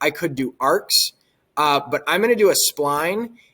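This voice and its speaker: A man is talking. His pace is fairly slow. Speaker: technology education teacher. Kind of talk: software tutorial. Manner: casual, with fillers.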